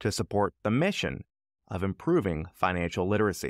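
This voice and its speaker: A plain, everyday voice, a man's at a fairly low pitch, comes at a moderate pace with a dry, echo-free sound and a quiet background. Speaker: podcast host. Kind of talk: podcast announcements and intro.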